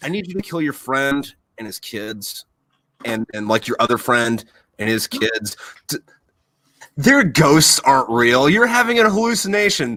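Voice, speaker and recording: A man with an American accent and a fairly high pitch speaks in a bright, sharp tone, with big swings in loudness and long, frequent pauses. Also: moderate pace. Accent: flat American. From USA. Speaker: podcast host, Marine Corps veteran. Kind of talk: casual chat. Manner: animated.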